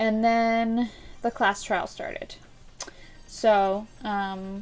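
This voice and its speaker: Faint music sits in the background. A woman's voice is heard over it. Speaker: gaming video host. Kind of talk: casual recap commentary. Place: home room.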